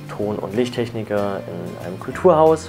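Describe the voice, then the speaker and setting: A man speaks with lively intonation at a fairly low pitch. Clear music plays in the background. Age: 20s. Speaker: sound engineer and street musician. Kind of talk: interview. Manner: hesitant with fillers. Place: home room. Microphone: lapel.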